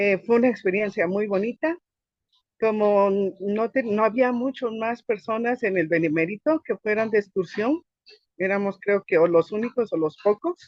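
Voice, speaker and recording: Pitch moves in an ordinary way while the words come at a moderate tempo. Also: woman, fairly high pitch for a woman. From Guatemala (Quetzaltenango). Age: 40s. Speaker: interviewee, church member. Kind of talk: life-story interview. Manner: halting, many self-corrections.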